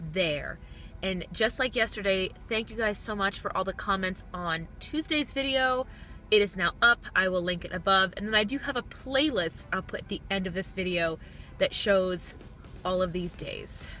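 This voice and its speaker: A woman talks at a moderate pace with a bright, sharp tone and ordinary pitch variation, the sound dry with no echo over light background noise. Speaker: vlogger. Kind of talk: casual vlog chat. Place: car.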